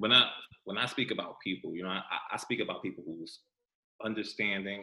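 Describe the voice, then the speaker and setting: A man talks at a fairly quick pace in an American accent. He has an unremarkable speaking voice with a fairly low pitch. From New York, Westchester County. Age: 40s. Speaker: formerly incarcerated guest. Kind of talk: casual chat.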